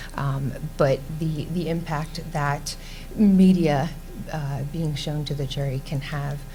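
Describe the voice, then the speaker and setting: A soft-spoken woman with a very deep, low pitch speaks with fairly even intonation. Music plays in the background, and there is audible room echo. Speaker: defense lawyer. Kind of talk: panel presentation. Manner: hesitant, many fillers.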